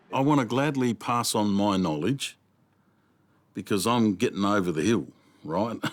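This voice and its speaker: Recorded very cleanly with a silent background, a man with an Australian accent uses lively intonation at very even loudness, with long, frequent pauses. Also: fairly low pitch for a man, moderate pace. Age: 60s. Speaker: veteran opal miner. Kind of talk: documentary interview.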